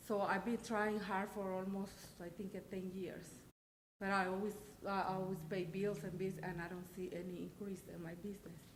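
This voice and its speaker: A woman with a non-native accent, medium pitch, moderate pace, somewhat breathy delivery and monotone, flat intonation, with audible room echo. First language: not English. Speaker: business owner, applicant. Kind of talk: public petition at council meeting. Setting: town council meeting chamber. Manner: halting, hesitant.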